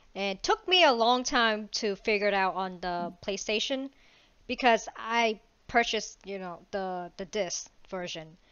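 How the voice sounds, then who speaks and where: In a plain, everyday voice, a woman speaks fairly slowly at a medium pitch, with ordinary pitch variation and big swings in loudness. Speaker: podcast host. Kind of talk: casual chat.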